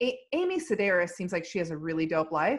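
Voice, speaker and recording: At a moderate pace, a woman speaks with an American accent. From US Midwest, Indiana. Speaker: comedian. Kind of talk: casual chat. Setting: video call.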